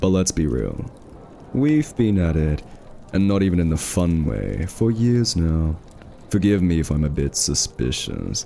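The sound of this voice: A man puts on a character voice, low in pitch with a dark, mellow tone. Vocal fry runs through it, along with big swings in pitch. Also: fairly slow pace.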